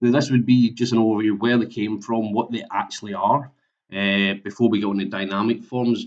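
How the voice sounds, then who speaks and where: Over a quiet background, a man with a Scottish accent talks at a moderate pace. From Scotland. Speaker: software implementation consultant. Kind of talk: webinar presentation. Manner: halting, many fillers and repetitions.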